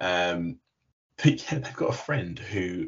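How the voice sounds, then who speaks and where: Somewhat breathy delivery at a fairly slow pace, with very wide pitch swings. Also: man. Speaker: podcast co-host. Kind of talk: casual chat.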